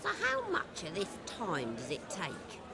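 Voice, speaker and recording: A put-on character voice at a middle pitch moves at a fairly slow pace over loud background noise. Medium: video game.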